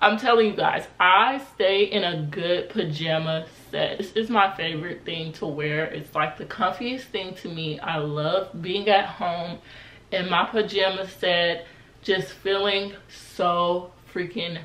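Audible room echo surrounds a woman speaking at a very slow pace. Her pitch varies in an ordinary way. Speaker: style vlogger. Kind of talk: casual vlog chat. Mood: relaxed, cheerful. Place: home room.

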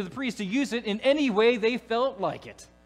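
A man's extremely high voice with ordinary pitch variation at a moderate pace, music playing in the background. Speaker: preacher. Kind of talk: sermon. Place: church.

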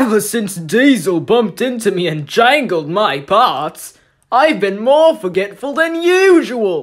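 A man's put-on character voice, high in pitch and fairly slow in pace. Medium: voice reel.

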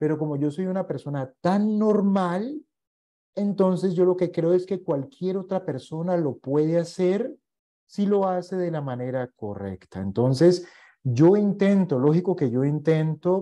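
In a quiet background, a man speaks at a fairly slow pace with a high pitch, ordinary pitch variation and a dark, mellow tone. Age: 40s. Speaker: investment educator. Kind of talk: online masterclass lecture; lecture. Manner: hesitant, frequent fillers. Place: home room.

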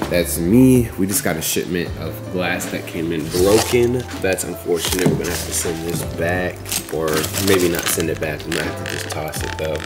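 Loud music plays behind a man who speaks at a moderate pace with ordinary pitch variation. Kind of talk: casual vlog chat. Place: factory. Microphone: phone near.

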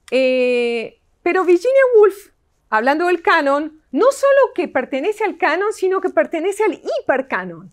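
A woman's extremely high voice with very wide pitch swings, at a fairly slow pace against a quiet background. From Argentina. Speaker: literature professor. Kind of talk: lecture. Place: hall. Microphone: camera far.

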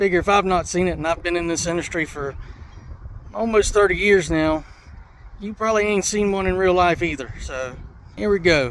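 The speech moves at a moderate pace with ordinary pitch variation and long, frequent pauses. Light background noise sits under a dry sound with no echo. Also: man, high pitch for a man. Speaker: tractor mechanic. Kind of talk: casual vlog chat. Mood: excited. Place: open country. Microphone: phone near.

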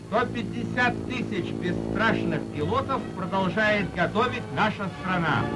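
A man's very slow voice with hardly any pauses, over loud music in the background. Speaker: newsreel announcer. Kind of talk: 1930s Soviet newsreel narration. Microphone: old recording.

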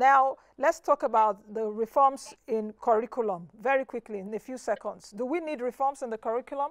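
Over a quiet background, a woman with a high voice talks at a moderate pace with hardly any pauses, her loudness swinging widely. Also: ordinary pitch variation. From Nigeria. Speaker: TV business show host. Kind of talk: TV interview. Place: studio. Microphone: lapel.

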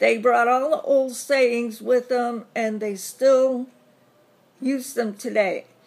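Pitched high, a woman talks with a Southern US accent. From US South. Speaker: vlogger. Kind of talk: casual vlog tag answering questions. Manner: chatty with many fillers.

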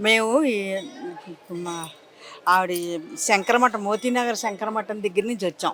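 A woman with a normal speaking voice, fairly high in pitch, with ordinary pitch variation. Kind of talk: interview answer.

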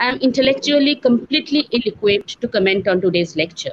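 A woman talks at a high pitch with very wide pitch swings. Light background noise sits behind her. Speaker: teacher welcoming webinar audience. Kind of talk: formal welcome address. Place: home room. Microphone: earbuds.

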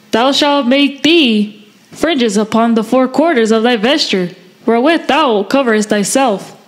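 Over noticeable background noise, a woman talks at a moderate pace with a high pitch and ordinary pitch variation. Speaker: class member. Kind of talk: reading aloud.

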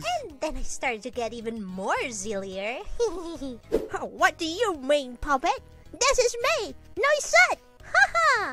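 In a cartoonish character voice, the high-pitched speaker talks fairly slowly, pitch swinging very widely, with long, frequent pauses. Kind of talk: comic cartoon acting. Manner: perky, giggly, rambling.

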